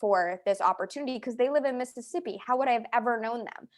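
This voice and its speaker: The background is quiet as a woman speaks in an animated tone. Her pitch variation is ordinary. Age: 30s. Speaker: network marketing fitness coach. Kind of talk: team training call presentation. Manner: casual, animated.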